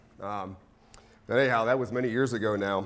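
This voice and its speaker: A man with an American accent speaks very fast with fairly even intonation. Audible room echo surrounds his voice. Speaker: professor. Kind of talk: lecture.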